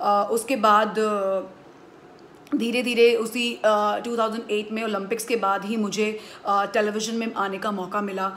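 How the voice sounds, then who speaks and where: Over light background noise, a woman speaks fairly slowly at a fairly high pitch with monotone, flat intonation. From India. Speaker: sports commentator; voice-over artist. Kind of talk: interview answer. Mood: calm, reflective. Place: home room. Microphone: phone near.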